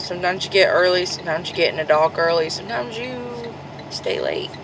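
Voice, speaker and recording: A woman talks very fast with lively intonation in a fairly low voice, amid noticeable background noise and audible room echo. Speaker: truck driver vlogger. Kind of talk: casual vlog explanation.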